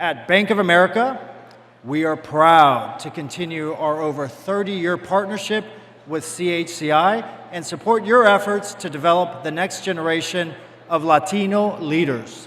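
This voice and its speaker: A high-pitched man at a moderate pace with ordinary pitch variation, amid noticeable background noise and audible room echo. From Cuba. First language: Spanish. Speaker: bank executive. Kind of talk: formal speech. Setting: stage with audience.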